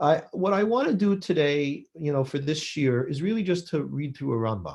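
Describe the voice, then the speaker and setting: Speaking at a fairly quick pace, a man with an American accent sounds somewhat breathy and uses lively intonation. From US West Coast, Los Angeles. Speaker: rabbi. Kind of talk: lecture.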